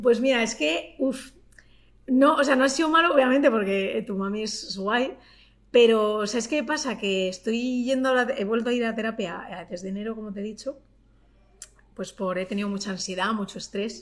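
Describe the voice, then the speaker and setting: A woman's fairly high-pitched voice at a moderate pace, with ordinary pitch variation. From Madrid, Spain. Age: 30s. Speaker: YouTuber and TV presenter. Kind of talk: casual interview chat.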